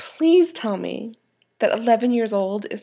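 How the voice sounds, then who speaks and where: The voice has a dark, mellow tone on a very clean recording with a silent background. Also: woman. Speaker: fan site founder and vlogger. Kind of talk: casual vlog. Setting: at parents' home. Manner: animated.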